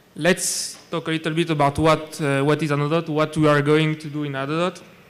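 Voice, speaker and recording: Here a man speaks with a French accent at a fairly high pitch. His delivery is fairly quick and monotone, with flat intonation. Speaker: data scientist. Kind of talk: conference talk. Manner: halting, many fillers and repetitions.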